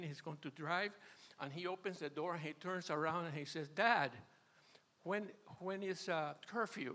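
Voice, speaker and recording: A man's bright, sharp voice, high in pitch, with fairly even intonation. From Venezuela. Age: 80s+. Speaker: retired churchgoer sharing marriage advice. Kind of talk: testimony. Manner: halting.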